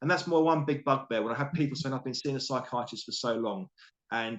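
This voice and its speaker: With a British accent, a man talks at a medium pitch. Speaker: coach and author. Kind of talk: interview. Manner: fast; animated.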